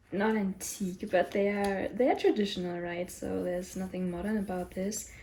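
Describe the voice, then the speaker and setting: At a moderate pace, a woman with a non-native accent talks in a medium pitch with a dark, mellow tone, somewhat breathy and fairly even in intonation. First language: not English. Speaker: tarot reader YouTuber. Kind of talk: casual vlog talk. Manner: halting, many fillers and restarts.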